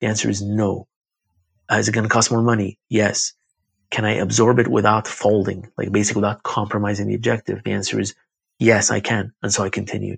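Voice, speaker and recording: A man speaks at fairly low pitch with vocal fry and monotone, flat intonation. The sound is dry and close, with no echo. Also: fairly quick pace. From Iraq. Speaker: yoga studio owner. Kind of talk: casual interview. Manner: talkative, filler words.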